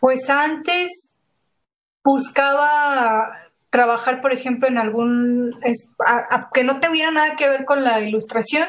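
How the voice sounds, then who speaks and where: A woman with a high pitch and ordinary pitch variation speaks at a very slow pace with very even loudness. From Mexico, San Luis Potosí. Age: 20s. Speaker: illustrator and graphic designer. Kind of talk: casual interview chat.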